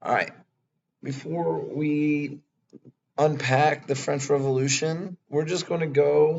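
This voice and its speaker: With long, frequent pauses, a man speaks very slowly in a fairly high, somewhat breathy voice and flat, monotone intonation. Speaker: history teacher. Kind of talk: lecture. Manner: casual, filler-heavy.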